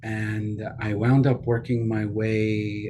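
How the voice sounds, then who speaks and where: A man with an American accent, a dark, mellow tone, a somewhat breathy quality, and audible room echo. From New York. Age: 60s. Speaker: leadership advisor. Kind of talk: interview.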